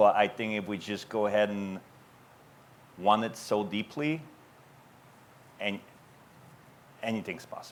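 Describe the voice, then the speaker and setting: The pace is moderate, with ordinary pitch variation. Long pauses come frequently. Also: man, fairly low pitch for a man. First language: not English. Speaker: business owner. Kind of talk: panel Q&A. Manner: halting.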